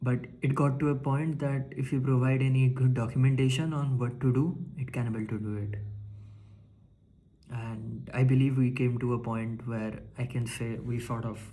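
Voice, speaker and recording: At a moderate pace, a man with a medium-pitched, somewhat breathy voice and a dark, mellow tone speaks with fairly even intonation and long, frequent pauses, audible room echo around him. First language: not English (English is third language). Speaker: tech vlogger. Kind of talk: casual monologue. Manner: halting, many fillers and restarts.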